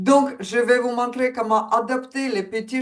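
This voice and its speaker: A woman in a Ukrainian accent with a fairly high pitch. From Ukraine. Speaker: coach. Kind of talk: webinar presentation.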